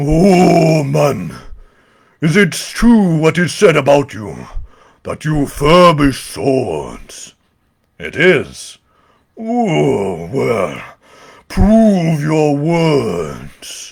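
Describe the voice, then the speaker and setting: A put-on character voice speaks very slowly, with long, frequent pauses. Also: man, fairly high pitch for a man. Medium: read story.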